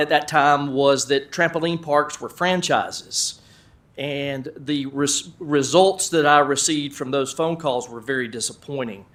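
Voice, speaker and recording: With an American accent, this man speaks at a fairly slow pace in a fairly high pitch, his loudness swinging widely while his intonation stays fairly even. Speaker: business owner. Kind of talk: presentation. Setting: council meeting room.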